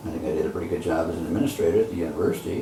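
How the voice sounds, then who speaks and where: A man talks at a very fast pace. Audible room echo and noticeable background noise accompany his voice. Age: 70s. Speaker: retired professor and education nonprofit founder. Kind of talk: interview. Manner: halting.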